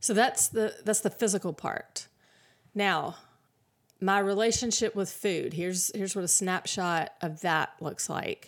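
In a normal speaking voice, the speaker goes at a fairly slow pace with fairly even intonation on a very clean recording with a silent background. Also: woman, medium pitch for a woman. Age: 50s. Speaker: podcast host. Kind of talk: solo podcast monologue. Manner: casual, laughs often.

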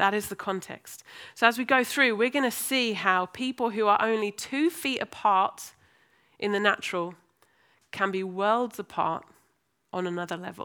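A woman with an American accent speaks at a medium pitch and moderate pace, her tone bright, sharp and animated with ordinary pitch variation. The recording is very clean with a silent background, and her pauses are long and frequent. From US, then Birmingham and London. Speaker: preacher. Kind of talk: sermon. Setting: church. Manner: animated, humorous.

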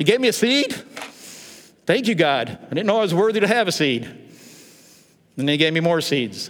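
A man with a high voice speaks at a moderate pace, with very wide pitch swings and big swings in loudness. Audible room echo surrounds him. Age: 60s. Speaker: pastor. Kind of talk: sermon.

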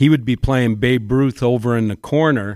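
With a dry, close sound, no echo and a silent background in a very clean recording, a man with an ordinary speaking voice talks at a medium pitch with fairly even intonation. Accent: Canadian. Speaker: basketball coach and teacher. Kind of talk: casual chat.

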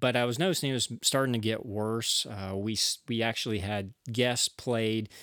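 A man with an unremarkable speaking voice and a medium pitch talks at a moderate pace with hardly any pauses and fairly even intonation. The recording is very clean with a silent background, and the sound is dry and close, with no echo. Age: 40s. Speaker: podcast host and church bass player. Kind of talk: solo podcast monologue.

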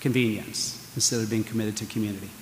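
An American-accented man at a fairly quick pace, with noticeable background noise. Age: 60s. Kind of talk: homily. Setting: church with congregation. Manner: conversational, humorous.

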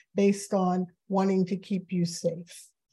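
A woman's medium-pitched voice carries a dark, mellow tone and a somewhat breathy quality. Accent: American. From New York City. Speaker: author and diversity consultant. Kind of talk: conversational interview. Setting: video call.

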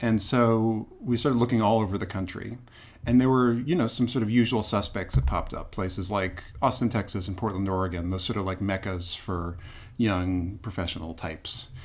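In an unremarkable speaking voice, a man talks at a fairly quick pace and fairly low pitch, with ordinary pitch variation. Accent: American. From US Northeast, Boston. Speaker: theater producer and actor. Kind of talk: interview conversation.

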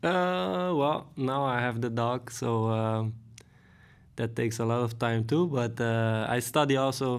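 At a very slow pace, a man with a Dutch accent speaks with ordinary pitch variation and very even loudness. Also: medium pitch for a man. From Netherlands, Hoogvliet near Rotterdam. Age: 30s. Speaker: professional footballer. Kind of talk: casual interview. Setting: studio. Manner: hesitant, many fillers.

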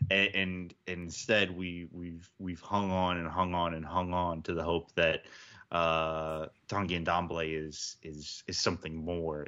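A man with an American accent speaks in a very deep, low voice. His delivery is fairly slow and flat, almost monotone. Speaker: football podcast panelist. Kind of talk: casual sports podcast chat.

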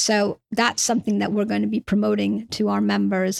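In a New York accent, the speaker talks at a moderate pace with fairly even intonation, and the sound is dry and close with no echo on a very clean recording with a silent background. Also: woman. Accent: New York American, noticeable. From New York, US. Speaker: insurtech trade body CEO. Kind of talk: interview.

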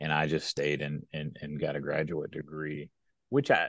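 Against a quiet background, a man with a Kentucky accent speaks at a fairly slow pace. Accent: Southern US (Kentucky). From West Kentucky. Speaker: economic development executive. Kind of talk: interview conversation. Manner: frequent fillers and repetitions.

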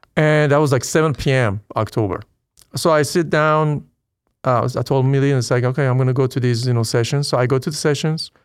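A man with a slight Persian accent talks at a fairly quick pace and medium pitch, with ordinary pitch variation and very even loudness in a very clean recording with a silent background. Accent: light Persian-accented English. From Iran. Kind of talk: conversion testimony interview. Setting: church parish.

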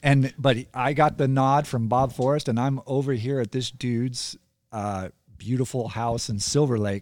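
An ordinary speaking voice: a man with an American accent, medium pitch and ordinary pitch variation, at a moderate pace. The recording is very clean, with a silent background. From California. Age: 50s. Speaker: author and guest. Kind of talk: casual interview. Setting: studio.

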